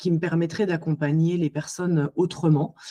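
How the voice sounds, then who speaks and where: Pitched fairly low, a woman's voice has a dark, mellow tone. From Alsace, France. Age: 40s. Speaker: psycho-body therapist. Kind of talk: podcast interview. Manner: hesitant, many fillers.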